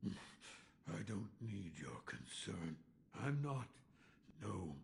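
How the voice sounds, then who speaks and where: A man puts on a character voice with a very deep, low pitch. He growls and drags the words out at a very slow pace. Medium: video game. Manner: gruff, terse.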